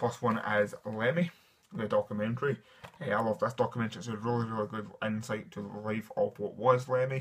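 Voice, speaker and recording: A man with a Scottish accent talks at a fairly quick pace in a medium pitch. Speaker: film collector and reviewer. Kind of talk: casual talk to camera. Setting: dimly lit room at home. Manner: enthusiastic.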